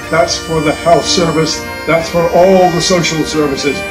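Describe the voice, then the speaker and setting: A man speaks in a Scottish accent with noticeable background noise behind him. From Scottish Highlands. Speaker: audience member. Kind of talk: impassioned audience speech on TV debate. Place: studio.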